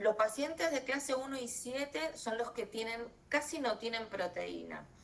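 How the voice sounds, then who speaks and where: Noticeable background noise sits behind a woman speaking at a fairly slow pace, with fairly high pitch and ordinary pitch variation. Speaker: doctor giving a lecture. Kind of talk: online lecture. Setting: video call.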